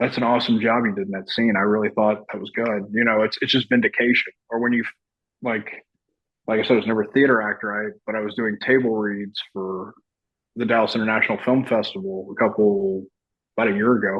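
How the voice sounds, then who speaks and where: A man speaks with a Texan accent at a fairly low pitch. His intonation stays monotone and flat. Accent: Texan drawl. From Texas. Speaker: army veteran and actor. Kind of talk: podcast interview.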